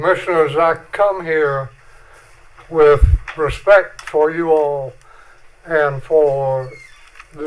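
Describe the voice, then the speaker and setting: A man speaks with a North Carolina accent. His pitch is fairly high and his intonation fairly even. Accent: Southern US (North Carolina). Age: 80s+. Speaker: public commenter at county meeting. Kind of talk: public comment. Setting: county board meeting.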